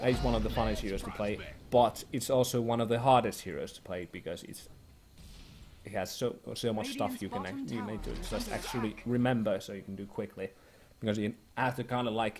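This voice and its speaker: A man with vocal fry talks at a fairly quick pace in a medium pitch, his intonation fairly even but his loudness swinging widely. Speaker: Dota 2 shoutcaster / streamer. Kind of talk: explaining hero picks and strategy. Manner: casual, hesitant, thinking aloud.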